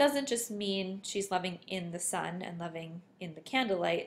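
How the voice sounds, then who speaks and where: A woman talks at a fairly slow pace in an ordinary speaking voice. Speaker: teacher. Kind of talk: tutorial.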